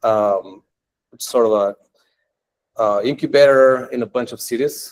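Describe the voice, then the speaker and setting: In a non-native accent, a man speaks with a dry, close sound and no echo. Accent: foreign. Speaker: tech entrepreneur and meetup speaker. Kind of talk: technical meetup talk. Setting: meetup room with live audience. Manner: casual, many filler words.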